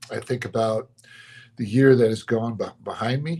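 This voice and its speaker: The man talks at a moderate pace in an unremarkable speaking voice. His intonation is fairly even and his pitch medium. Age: 60s. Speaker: pastor. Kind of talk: motivational talk. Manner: reflective, conversational.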